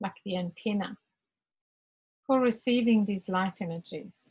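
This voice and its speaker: A woman's somewhat breathy, medium-pitched voice at a fairly slow pace, with ordinary pitch variation. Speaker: spiritual workshop facilitator. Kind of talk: guided meditation. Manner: gentle, slow rhythm.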